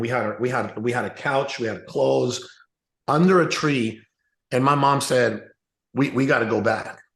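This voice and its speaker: At a moderate pace, a man with a Spanish accent talks at a medium pitch with ordinary pitch variation. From Mexico, raised partly in US Southwest. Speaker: real estate entrepreneur. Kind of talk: interview storytelling. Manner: casual, many fillers and repetitions.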